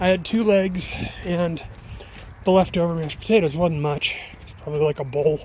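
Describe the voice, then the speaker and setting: Moderate pace over noticeable background noise. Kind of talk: casual vlog talk while walking dog. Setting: outdoors.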